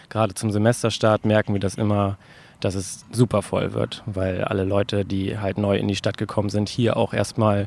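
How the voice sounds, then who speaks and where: At a moderate pace, a man talks in a fairly low pitch with monotone, flat intonation on a very clean recording with a silent background. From Greifswald, northeastern Germany. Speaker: volunteer bouldering gym builder. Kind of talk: interview. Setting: bouldering gym in old garage.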